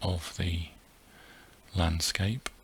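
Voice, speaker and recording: Very slowly and softly, a man speaks in a very deep, low voice with a gentle tone and flat, monotone delivery. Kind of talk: soft-spoken ASMR flight narration. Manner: soft-spoken, gentle, relaxing.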